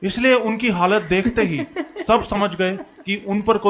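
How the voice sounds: The clip has a natural reading voice with ordinary pitch variation.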